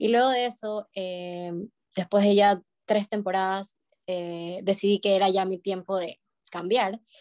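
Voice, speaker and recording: A woman talks at a fairly slow pace in a medium, monotone, flat voice, with a dry, close sound and no echo. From Ecuador, Guayaquil. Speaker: ballet dancer. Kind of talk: interview.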